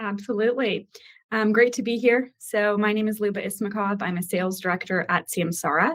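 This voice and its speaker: A woman speaks at a medium pitch with ordinary pitch variation and a fairly quick pace. She has a plain, everyday voice. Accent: American. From US. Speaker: sales director. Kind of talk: webinar panel.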